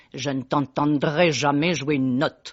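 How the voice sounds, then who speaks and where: A put-on character voice delivers its lines in monotone, flat intonation. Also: man, fairly high pitch for a man, moderate pace. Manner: stern, decisive.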